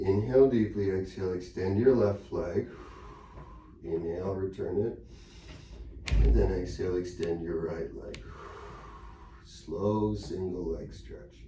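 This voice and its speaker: The man speaks in a calm tone at a very slow pace, with big swings in loudness. Room echo is audible. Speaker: pilates instructor. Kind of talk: exercise class instruction. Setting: studio. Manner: calm, encouraging.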